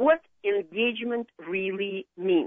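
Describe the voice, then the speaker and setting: A woman is speaking. She has a Russian accent. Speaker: marketing consultant. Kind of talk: radio interview. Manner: halting.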